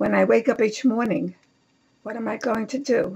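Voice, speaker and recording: A woman's dark, mellow voice with vocal fry and a New York accent. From New York City, Lower East Side of Manhattan. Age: 80s+. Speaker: author. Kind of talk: reading aloud.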